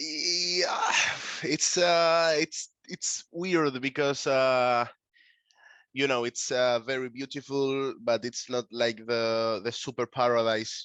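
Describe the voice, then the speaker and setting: A man talks at a very slow pace with a medium pitch and ordinary pitch variation. The sound is dry and close with no echo, over a quiet background. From Canary Islands, Tenerife (Puerto de la Cruz). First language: Spanish. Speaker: concept photographer, artist. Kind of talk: interview. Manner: halting, many fillers.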